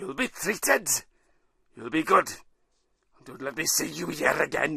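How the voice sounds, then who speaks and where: A man puts on a raspy, gruff character voice, fairly high in pitch and swinging very widely, at a moderate pace. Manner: stern, commanding.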